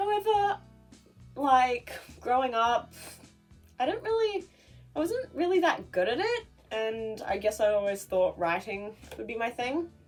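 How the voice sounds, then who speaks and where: With music playing in the background, the speaker talks at a very slow pace, the pitch swinging very widely. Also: woman. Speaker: YouTuber and artist. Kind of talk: casual talk to camera.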